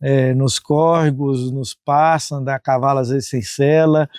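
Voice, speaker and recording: A man speaks in a normal speaking voice at a fairly high pitch and moderate pace, with fairly even intonation. The recording is very clean, with a silent background and a dry, close sound with no echo. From Brazil, northeastern Goiás. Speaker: farm owner, conservationist. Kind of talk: interview testimony.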